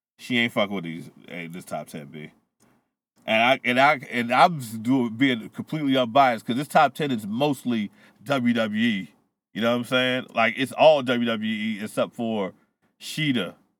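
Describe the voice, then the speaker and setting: In a normal speaking voice, a man talks at a medium pitch and moderate pace, with ordinary pitch variation and big swings in loudness. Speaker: podcast co-host. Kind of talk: casual banter. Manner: casual, profane.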